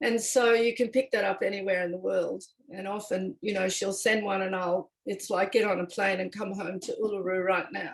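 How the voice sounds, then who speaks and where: The intonation stays fairly even. There are hardly any pauses. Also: woman, medium pitch for a woman, moderate pace. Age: 60s. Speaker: circle participant, former public servant. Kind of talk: personal sharing in a listening circle. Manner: halting, with restarts.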